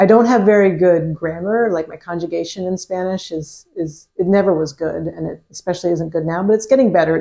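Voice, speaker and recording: The woman's voice is pitched fairly low, with a dark, mellow tone. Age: 40s. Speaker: podcast guest, adult language learner. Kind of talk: casual interview chat. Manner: halting, thoughtful pauses.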